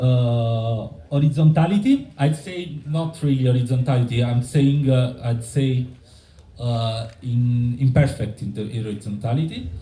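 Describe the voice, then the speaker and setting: This man talks at a fairly slow pace in a medium pitch, with a dark, mellow, somewhat breathy tone and an Italian accent. His pitch moves in an ordinary way, and some room echo can be heard. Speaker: member of a community building collective. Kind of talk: conference presentation. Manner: halting, many fillers and restarts.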